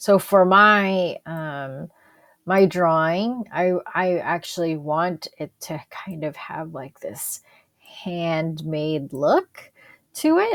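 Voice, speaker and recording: At a very slow pace, a woman speaks with a fairly low pitch, ordinary pitch variation and big swings in loudness. The recording is very clean with a silent background, dry and close with no echo. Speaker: college instructor. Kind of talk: screen-recorded tutorial. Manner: hesitant, many fillers.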